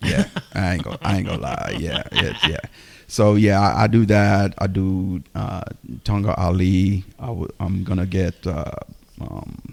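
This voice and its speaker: This man's pitch is very deep and low. It shows ordinary variation. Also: fairly slow pace. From Jamaica. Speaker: podcast co-host. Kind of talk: casual chat. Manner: halting.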